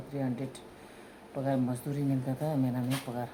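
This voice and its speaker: A woman's dark, mellow, somewhat breathy voice with fairly even intonation. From Tibetan community in India. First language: Tibetan (speaking Hindi). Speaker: mother telling her love story. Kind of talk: casual chat, personal storytelling.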